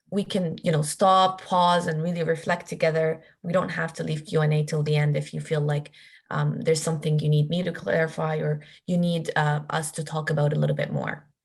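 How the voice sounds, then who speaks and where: A woman's very deep, low, somewhat breathy voice, fairly quick in pace, with monotone, flat intonation. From Palestine, Jerusalem, moved to Canada at 15. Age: 20s. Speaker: workshop facilitator. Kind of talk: workshop talk. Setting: video call. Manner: halting, many fillers and repeats.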